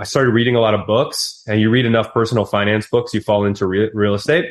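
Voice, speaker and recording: A man in an American accent rattles along at a very fast pace. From Wisconsin, US Midwest. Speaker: real estate investor and entrepreneur. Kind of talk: podcast interview. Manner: animated.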